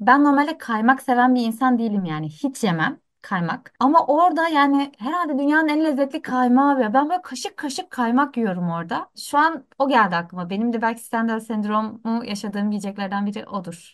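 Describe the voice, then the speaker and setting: Against a quiet background, a woman talks at a fairly quick pace with hardly any pauses, her high voice moving in very wide pitch swings. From Antakya, Turkey. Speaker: content creator and editor. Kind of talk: casual chat. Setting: remote call.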